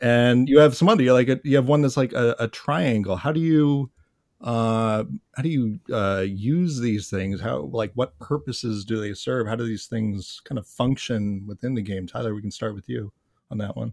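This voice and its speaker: The recording is very clean with a silent background. A man with an American accent talks in an unremarkable speaking voice with ordinary pitch variation. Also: medium pitch for a man, moderate pace. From upstate New York. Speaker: podcast host. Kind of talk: interview.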